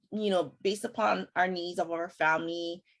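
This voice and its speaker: Fairly even intonation, fairly quick delivery and a fairly low pitch from a woman. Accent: Hawaiian. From Hawaii (Kauai). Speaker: podcast host. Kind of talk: casual chat. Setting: video call.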